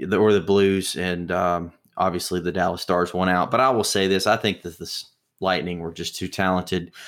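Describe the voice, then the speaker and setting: A man with an American accent and a fairly low pitch, an ordinary speaking voice at a moderate pace, on a very clean recording with a silent background. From US South (Mississippi). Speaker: sports podcast co-host. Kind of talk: casual chat.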